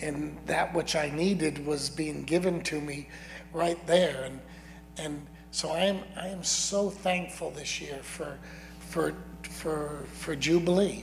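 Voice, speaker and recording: Over noticeable background noise, a man with a fairly high pitch talks at a very slow pace with fairly even intonation. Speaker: congregation member sharing testimony. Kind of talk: testimony and prayer. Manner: halting, repeats words.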